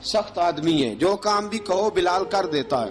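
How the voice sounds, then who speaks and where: Against music in the background, a man with a high pitch speaks with ordinary pitch variation. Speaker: Islamic preacher. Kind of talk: religious sermon recounting early Islamic history. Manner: emotional, dramatic storytelling.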